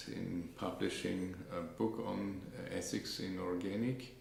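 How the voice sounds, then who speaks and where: A man talks in a very deep, low voice with ordinary pitch variation. Room echo is audible. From Germany, Stuttgart. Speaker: professor. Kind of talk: interview. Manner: halting.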